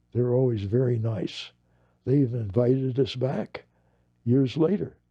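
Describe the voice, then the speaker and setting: A man speaks with an American accent and ordinary pitch variation. His voice is somewhat breathy. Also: medium pitch for a man, moderate pace. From US West (Los Angeles). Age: 80s+. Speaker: war veteran. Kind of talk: interview. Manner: halting, with repetitions.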